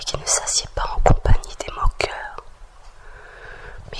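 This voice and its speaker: A calm, whispered voice. Background noise is noticeable. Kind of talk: whispered scripture reading for relaxation. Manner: whispered, slow, calm.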